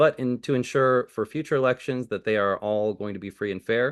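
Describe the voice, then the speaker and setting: A man with an American accent talks at a fairly quick pace with ordinary pitch variation. The sound is dry and close with no echo, over a quiet background. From California, Bay Area. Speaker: political candidate. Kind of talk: candidate forum answer.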